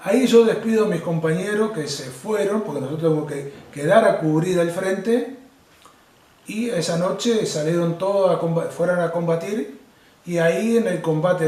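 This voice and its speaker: Speech moves at a moderate pace with audible room echo. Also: man. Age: 60s. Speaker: war veteran. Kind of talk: testimony. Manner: halting.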